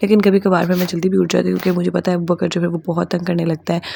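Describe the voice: Fast and fairly low-pitched, a woman talks with vocal fry and a slightly mellow tone.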